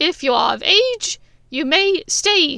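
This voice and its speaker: Raising and projecting a squeaky, put-on character voice, a woman speaks at a fairly slow pace with very wide pitch swings. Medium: read story. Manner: brisk, crisp.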